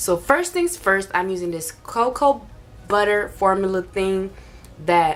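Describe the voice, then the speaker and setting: A woman at a fairly slow pace and medium pitch, with ordinary pitch variation, over noticeable background noise. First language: not English. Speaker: beauty vlogger. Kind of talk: makeup tutorial. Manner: casual, chatty.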